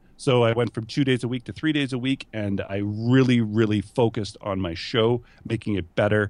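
Against a quiet background, a man speaks at a fairly quick pace with a fairly low pitch and ordinary pitch variation. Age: 30s. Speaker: entrepreneur and podcast host. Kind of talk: casual interview chat. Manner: self-conscious about his voice.

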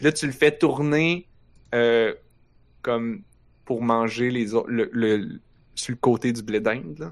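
A man with a Quebec accent talks at a very slow pace with long, frequent pauses, his medium pitch showing ordinary variation. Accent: Québécois French. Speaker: podcast host. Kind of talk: casual chat. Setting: live stream with chat.

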